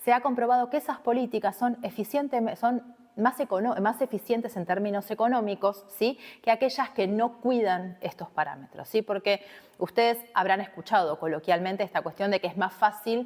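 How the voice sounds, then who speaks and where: With ordinary pitch variation, this woman's voice runs fairly high. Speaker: university lecturer. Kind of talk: recorded online lecture. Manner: fast; conversational.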